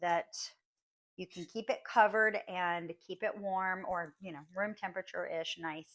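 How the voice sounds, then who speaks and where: A woman talks at a moderate pace in a plain, everyday voice. Her pitch sits at a medium level with ordinary variation. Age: 40s. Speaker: home baker. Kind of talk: tutorial. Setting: home kitchen. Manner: casual, with many fillers.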